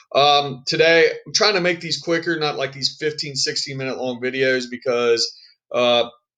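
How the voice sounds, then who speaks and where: A man talks in a plain, everyday voice at a moderate pace. His pitch is fairly high, with ordinary pitch variation. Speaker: high school history teacher. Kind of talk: recorded lesson for students. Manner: casual, many fillers.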